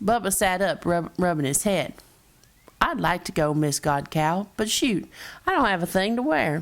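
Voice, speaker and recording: A woman with a Texas accent speaks at a moderate pace. Her medium pitch carries lively intonation. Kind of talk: children's story read-aloud.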